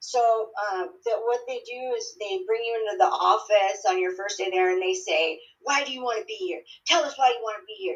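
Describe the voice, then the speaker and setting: Here a woman speaks in an unremarkable speaking voice, fairly high in pitch. Her intonation is lively and her pace moderate. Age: 30s. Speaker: recovering addict sharing her story. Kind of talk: interview testimony.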